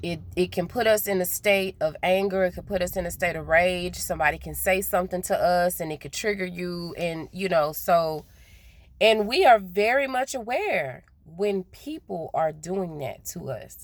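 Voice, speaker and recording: A Southern US accent, with big swings in loudness and ordinary pitch variation. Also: woman, medium pitch for a woman. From US South. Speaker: spiritual vlogger. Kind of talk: casual monologue vlog. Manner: naturally slow, trying to speed up; hesitant, repeats words.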